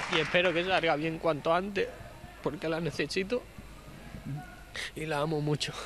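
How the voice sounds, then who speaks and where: Noticeable background noise accompanies a man speaking at a moderate pace, his pitch fairly high and his intonation fairly even. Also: dry sound with no echo. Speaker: professional footballer. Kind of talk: post-game interview answer. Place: stadium. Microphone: handheld.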